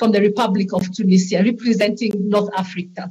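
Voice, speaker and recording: At a fairly quick pace, a woman talks in a somewhat breathy voice. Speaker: conference chair. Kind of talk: formal conference moderating. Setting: online conference. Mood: formal, courteous. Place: home room. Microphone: video call.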